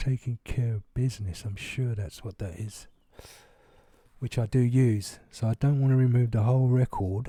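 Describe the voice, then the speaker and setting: Dark, mellow, somewhat breathy male voice at a medium pitch, moderate pace and fairly even intonation. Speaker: gaming YouTuber. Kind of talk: tutorial. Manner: casual with fillers.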